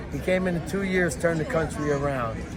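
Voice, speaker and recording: Over crowd noise and audible room echo, a man with a New York accent talks at a fairly quick pace in a fairly high pitch, his intonation flat and monotone. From New York City, Lower East Side Manhattan. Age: 60s. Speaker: Trump supporter at a rally. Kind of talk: street interview.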